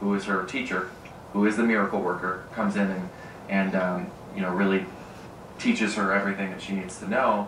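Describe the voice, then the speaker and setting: A man with an Upper Midwest accent speaks at a fairly low pitch and a moderate pace, his intonation monotone and flat. Noticeable background noise and audible room echo fill the recording. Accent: Upper Midwest American. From Michigan, Grand Rapids. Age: 20s. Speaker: community theater actor. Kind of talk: interview. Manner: hesitant, many fillers.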